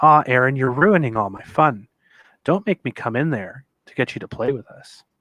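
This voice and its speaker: In a raspy, put-on character voice, a man speaks at a moderate pace in a medium pitch with lively intonation. The sound is dry and close with no echo, and the background is quiet. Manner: angry, mocking.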